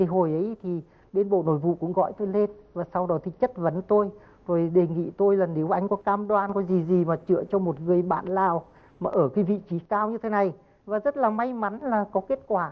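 A man with a high pitch talks at a moderate pace with ordinary pitch variation. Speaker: martial arts master; talk show guest. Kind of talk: TV interview. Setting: TV studio with audience. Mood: calm, friendly. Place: studio. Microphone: lapel.

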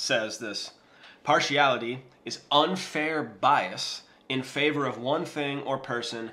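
A man speaks with a bright, sharp tone. His pitch varies in an ordinary way. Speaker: Bible teacher vlogger. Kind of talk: casual Bible teaching. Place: kitchen.

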